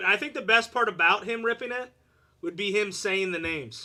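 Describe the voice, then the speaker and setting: A man speaks in a raised, projected voice at a fairly quick pace. His tone is bright, sharp and animated. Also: very clean recording, silent background. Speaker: card break host. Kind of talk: live stream card break.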